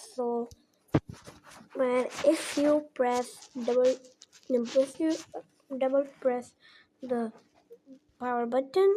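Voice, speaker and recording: A woman speaks with a non-native accent at a very slow pace. Her voice is high-pitched. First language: not English. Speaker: phone tutorial creator. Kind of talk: tutorial. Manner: halting, many repetitions and fillers.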